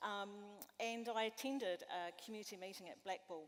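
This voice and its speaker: Her pitch is medium for a woman. It varies in an ordinary way. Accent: New Zealand. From West Coast, South Island, New Zealand. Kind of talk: panel discussion. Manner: hesitant, many fillers.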